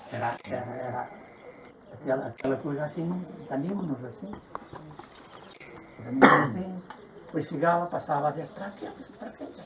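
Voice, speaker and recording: Over noticeable background noise, a man speaks at a fairly quick pace and fairly high pitch with ordinary pitch variation, big swings in loudness and long, frequent pauses. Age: 80s+. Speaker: local elder explaining old traditions. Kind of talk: casual explanatory chat on a guided visit. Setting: old village olive press, with visitors. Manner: halting, with many repetitions.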